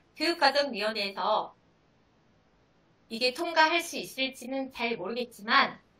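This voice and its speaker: A woman speaks in a high-pitched, raised, projected voice. Her pace is moderate. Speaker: high school math teacher. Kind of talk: seminar presentation.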